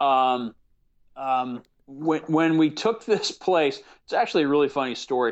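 With ordinary pitch variation and a fairly slow pace, this is an ordinary speaking voice. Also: man, fairly high pitch for a man. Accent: American. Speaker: actor and producer. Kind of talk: casual interview chat.

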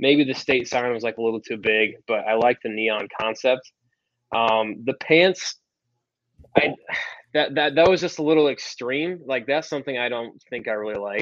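A man at a medium pitch and moderate pace, a plain, everyday voice with ordinary pitch variation. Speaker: former college quarterback, pro football player. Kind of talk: casual chat. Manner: laid-back, many filler words.

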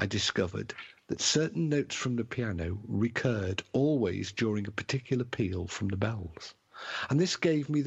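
Lively intonation runs through this passage. It is read aloud in a natural voice.

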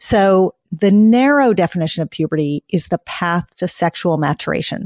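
In a very clean recording with a silent background and a dry, close sound with no echo, a woman with a fairly low pitch and lively intonation uses an unremarkable speaking voice. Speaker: pediatrician and author. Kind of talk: casual interview.

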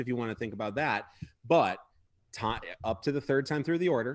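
At a fairly quick pace, a man talks in a normal speaking voice, medium in pitch with ordinary variation. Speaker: baseball analyst. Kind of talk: excited post-game sports discussion.

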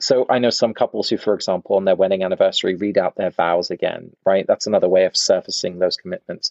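This is a man speaking in an English accent. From England. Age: 30s. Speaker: author and researcher. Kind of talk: interview.

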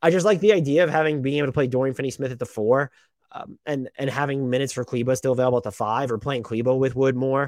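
A man's medium-pitched, very fast speech with ordinary pitch variation. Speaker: basketball podcast host. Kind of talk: solo mailbag podcast, casual talk. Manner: fast talker.

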